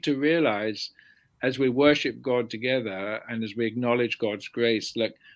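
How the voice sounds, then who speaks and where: Ordinary pitch variation and a moderate pace from a man, captured on a very clean recording against a silent background. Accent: southern English. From London, England. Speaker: theology professor. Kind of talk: interview.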